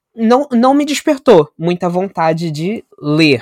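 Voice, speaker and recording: A man's voice with lively intonation, sounding dry and close with no echo. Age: 20s. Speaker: media studies graduate and photographer. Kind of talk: casual chat.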